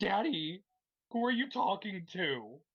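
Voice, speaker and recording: The put-on character voice sits at a middle pitch and moves at a fairly slow pace. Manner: cute, curious.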